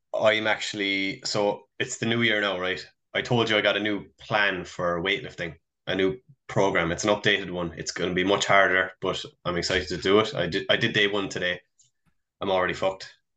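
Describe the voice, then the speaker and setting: Fairly quick speech from a man with a Cork accent, a bright, sharp tone and fairly even intonation, over a quiet background. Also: fairly low pitch for a man. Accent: Irish (Cork). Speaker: podcast co-host. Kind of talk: casual chat.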